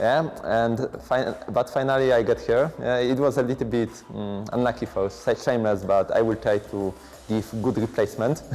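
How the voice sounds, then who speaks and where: Medium-pitched male voice with fairly even intonation and music in the background. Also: moderate pace. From Poland. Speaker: esports player. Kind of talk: interview. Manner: halting.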